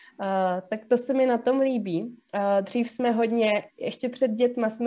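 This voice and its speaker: In a quiet background, a woman with a fairly high pitch speaks at a fairly slow pace with fairly even intonation. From South Bohemia, Czech Republic. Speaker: psychologist and podcast co-host. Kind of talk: casual chat. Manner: hesitant, many fillers.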